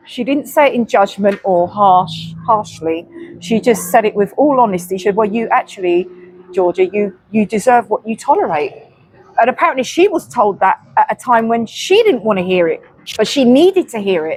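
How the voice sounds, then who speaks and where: Noticeable background noise sits behind a woman's voice. She speaks at a fairly high pitch with lively intonation. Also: moderate pace. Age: 50s. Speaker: co-host of a faith chat channel. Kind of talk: casual chat. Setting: outdoors.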